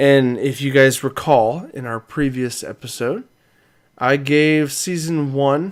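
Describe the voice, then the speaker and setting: A man's fairly high voice with fairly even intonation, at a very slow pace. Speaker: podcast co-host. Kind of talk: casual chat.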